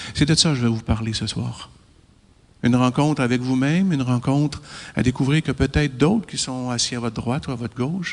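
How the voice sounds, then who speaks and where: In a Quebec accent, a man speaks fairly quickly at a medium pitch with ordinary pitch variation, on a very clean recording with a silent background. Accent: Québécois French. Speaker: chiropractor and lecturer. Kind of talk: lecture to an audience.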